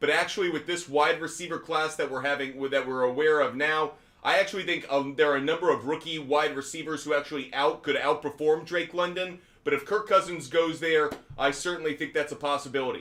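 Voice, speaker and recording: A man speaks loudly at a fairly quick pace, his fairly high voice bright and sharp in tone with fairly even intonation. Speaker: sports betting show host. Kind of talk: live stream sports talk. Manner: loud, projecting.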